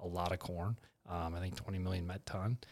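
A man speaks with an Upper Midwest accent. His pace is fairly quick. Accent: Upper Midwest American. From North Dakota. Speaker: grain company general manager. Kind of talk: podcast interview on grain markets.

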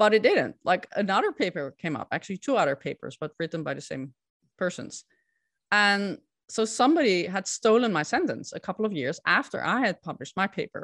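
In a Dutch accent, a woman speaks with very wide pitch swings over a very clean recording and silent background. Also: medium pitch for a woman, fairly quick pace. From Netherlands. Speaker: scientific integrity consultant. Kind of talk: interview.

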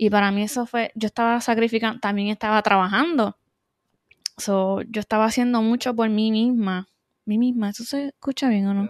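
A woman speaks at a moderate pace with a fairly high pitch, recorded very cleanly against a silent background. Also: fairly even intonation. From Puerto Rico (Adjuntas). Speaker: podcast co-host, aesthetician. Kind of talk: casual chat.

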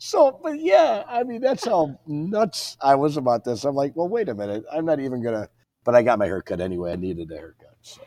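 Using a Midwestern American accent, a man races along at a fairly quick pace with hardly any pauses and big swings in loudness. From Illinois. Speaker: company president. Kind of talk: interview.

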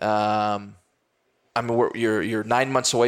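A man with an American accent and an unremarkable speaking voice talks fairly quickly at a medium pitch. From Texas. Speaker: Olympic bobsledder and motivational speaker. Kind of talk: interview.

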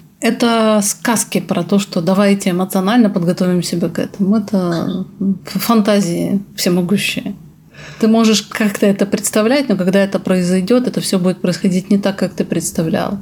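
A woman speaks at a moderate pace in a medium pitch, her intonation fairly even. Her loudness stays very even over noticeable background noise. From Belarus. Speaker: psychoanalyst. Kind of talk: interview.

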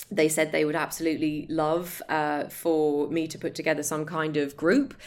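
A woman speaks at a moderate pace in a very deep, low voice. Her intonation is monotone and flat. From Ireland. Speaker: in-house legal head and network founder. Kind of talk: casual interview chat. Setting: video call.

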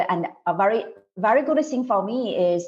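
A woman speaks with a Mandarin accent. Her pace is fairly slow. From China. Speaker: native speaker reviewer. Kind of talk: interview. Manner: halting.

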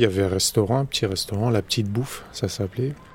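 This man speaks at a fairly low pitch. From Bobigny, Seine-Saint-Denis, France. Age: 40s. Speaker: local resident. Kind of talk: documentary testimony. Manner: casual, hesitant.

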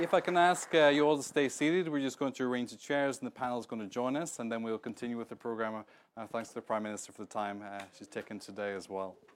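In a Northern Irish accent, a man talks very fast at a medium pitch with ordinary pitch variation, in a very clean recording with a silent background. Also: hardly any pauses. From Northern Ireland. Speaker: event moderator. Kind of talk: moderated panel discussion. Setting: studio with audience.

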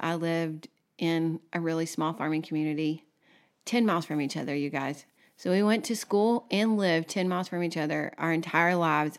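A woman talks at a fairly quick pace in a Texan accent, her pitch fairly low. The recording is very clean, with a silent background. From Texas. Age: 30s. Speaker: podcast co-host. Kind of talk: casual chat.

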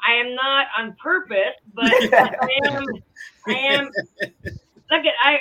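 A woman speaks in a raised, projected voice at a high pitch with ordinary pitch variation. Her pace is very slow, broken by long, frequent pauses. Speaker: horse racing handicapper. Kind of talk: casual chat.

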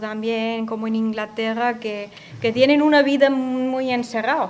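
Her pitch sits fairly high. The speaker is a woman. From Austria, Upper Austria (Gmunden). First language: German (speaking Spanish). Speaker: radio guest from abroad. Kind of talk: radio interview. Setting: radio studio.

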